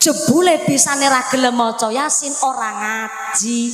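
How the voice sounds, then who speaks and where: Against noticeable background noise and audible room echo, a woman speaks slowly-ish, at a fairly slow pace, in a high pitch. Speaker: female Islamic preacher. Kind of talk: sermon. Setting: stage with audience, PA system. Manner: animated. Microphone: echo on the sound system.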